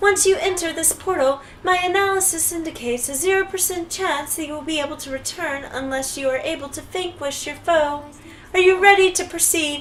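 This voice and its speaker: In a put-on, robotic character voice, a woman talks at a fairly quick pace with extremely high pitch over clear background noise. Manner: flat, analytical.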